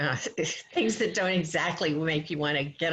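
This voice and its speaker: The female speaker keeps to a moderate pace. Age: 70s. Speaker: workshop leader. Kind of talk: interactive workshop.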